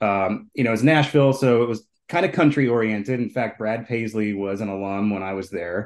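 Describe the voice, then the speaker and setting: A man with an American accent and a normal speaking voice, fairly low in pitch, talking at a fairly quick pace against a quiet background. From Minneapolis, Minnesota. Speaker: brewery co-founder and entrepreneur. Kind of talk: interview.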